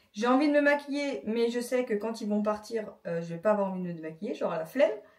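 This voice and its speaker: Her pitch fairly high and her intonation lively, a woman speaks at a very fast pace. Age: 30s. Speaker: vlogger. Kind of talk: casual vlog talk to camera.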